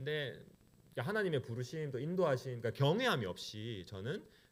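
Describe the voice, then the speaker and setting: A man with a strong Gyeongsang accent talks at a moderate pace, his pitch swinging very widely. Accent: Gyeongsang dialect, still strong. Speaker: pastor. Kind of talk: sermon. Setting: church.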